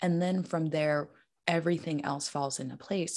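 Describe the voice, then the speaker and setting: Against a quiet background, a woman with a normal speaking voice talks at a fairly quick pace, her pitch fairly low and her intonation lively. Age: 20s. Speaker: menstrual health coach. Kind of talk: casual interview.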